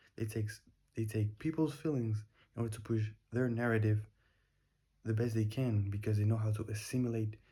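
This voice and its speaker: A man speaks with a non-native accent in a fairly low, somewhat breathy voice with a dark, mellow tone. His intonation is monotone and flat. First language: not English. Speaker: daily vlogger. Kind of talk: casual monologue. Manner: halting.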